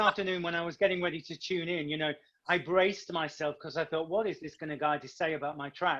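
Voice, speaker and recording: Someone speaks at a very fast pace with a British accent. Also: man. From northern England. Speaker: singer and actor. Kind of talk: casual interview.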